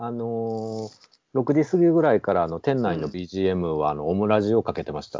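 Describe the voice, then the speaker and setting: At a moderate pace, a man with a fairly low voice makes very wide pitch swings and big swings in loudness. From Nabari, Mie (near Nara, Kansai). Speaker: bookshop owner. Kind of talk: casual conversation.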